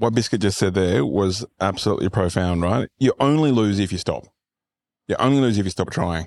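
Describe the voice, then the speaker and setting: Dry and close with no echo, a man with a fairly low voice talks at a fairly quick pace and very even loudness in a normal speaking voice. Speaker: podcast host and fitness business coach. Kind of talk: casual interview. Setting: on location at a fitness retreat. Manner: casual, profane.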